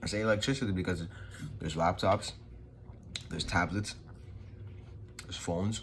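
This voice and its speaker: A man with a very deep, low voice and a New York accent, somewhat breathy, at a fairly quick pace with ordinary pitch variation and audible room echo. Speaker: vlogger. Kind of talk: motivational talk. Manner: casual, unscripted.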